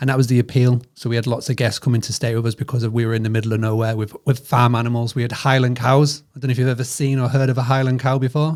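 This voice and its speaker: A man speaks very fast with a British accent and hardly any pauses. His pitch is medium and his intonation is flat and monotone. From northern England. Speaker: hospitality business founder. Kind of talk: podcast interview. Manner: halting.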